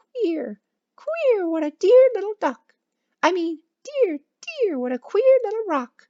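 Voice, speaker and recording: In a squeaky, put-on character voice at an extremely high pitch, the speaker swings very widely in pitch and goes at a fairly slow pace with long, frequent pauses. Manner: funny, muddled wordplay.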